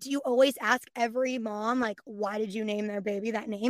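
A woman speaks with a Californian accent. The sound is dry and close, with no echo. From San Francisco Bay Area. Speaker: voice actress and dancer. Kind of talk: casual chat.

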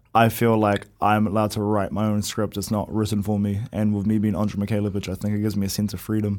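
At a fairly low pitch, a man talks at a fairly quick pace in a dark, mellow tone, captured in a very clean recording with a silent background. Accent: New Zealand. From New Zealand. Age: young. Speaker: professional boxer. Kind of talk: interview. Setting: studio.

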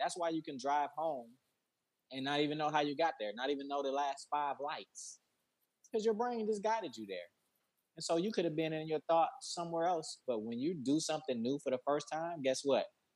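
Talking at a fairly quick pace, a man with an American accent has an unremarkable speaking voice, fairly high pitch and lively intonation. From Detroit, Michigan. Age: 40s. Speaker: founder of a mental health business. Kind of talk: casual interview.

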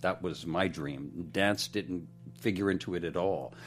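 This man speaks at a moderate pace with an American accent and a very deep, low voice touched by vocal fry. His intonation is lively. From Pennsylvania, outside Philadelphia. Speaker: director and choreographer. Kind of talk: interview. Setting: studio.

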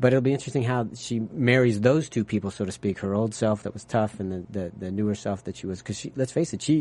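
Here a man talks at a very fast pace with hardly any pauses. His fairly low pitch has a dark, mellow tone and ordinary variation. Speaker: TV after-show host. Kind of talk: casual chat. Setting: studio. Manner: halting.

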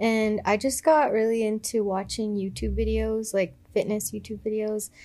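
A woman talks at a moderate pace and a fairly high pitch. Her intonation stays flat and monotone. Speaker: gym-goer and fitness enthusiast. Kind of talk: casual chat. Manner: shy.

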